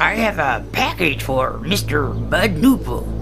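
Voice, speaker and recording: A man does a put-on character voice at a fairly slow pace. Loud music plays in the background. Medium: read story. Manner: polite, slightly fussy.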